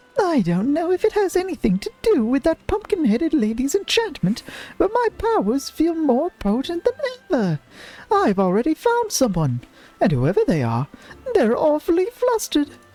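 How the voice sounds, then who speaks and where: In a put-on character voice, a man speaks at a moderate pace, squeaky and extremely high-pitched. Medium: game stream. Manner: chatty, eager.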